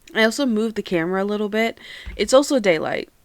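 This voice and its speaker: On a very clean recording with a silent background, a woman speaks loudly. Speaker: podcast host. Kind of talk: casual solo podcast chat. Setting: home recording on camera. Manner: chatty, talkative.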